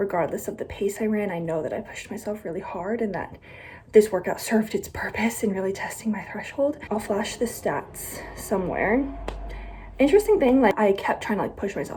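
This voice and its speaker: Against noticeable background noise, a woman with a fairly high voice speaks at a fairly quick pace with ordinary pitch variation. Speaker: vlogger. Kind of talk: casual vlog monologue.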